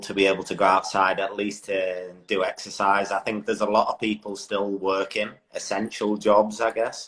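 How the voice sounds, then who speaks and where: His voice sits fairly low as this man talks at a moderate tempo. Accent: English. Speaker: motorcycle road racer. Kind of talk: casual interview. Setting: social media live video.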